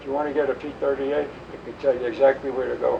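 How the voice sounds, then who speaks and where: Noticeable background noise is audible throughout. A man speaks fairly quickly over it. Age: 80s+. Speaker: war veteran. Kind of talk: interview answer.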